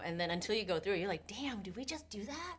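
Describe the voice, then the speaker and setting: The speech carries a Vietnamese accent and lively intonation. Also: woman. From US, Vietnamese immigrant family. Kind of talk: casual podcast conversation.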